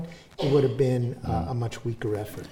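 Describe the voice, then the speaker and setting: A man with an American accent speaks with lively intonation, with audible room echo around him. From US, New York City. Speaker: professor and author. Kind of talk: public talk with audience. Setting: stage with audience.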